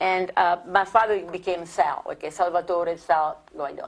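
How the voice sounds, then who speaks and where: In an Italian accent, a woman speaks at a fairly slow pace in a fairly low, monotone, flat voice. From Italy (Rome, born near Naples). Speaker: immigrant sharing life story. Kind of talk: oral history interview. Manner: halting, repetitive.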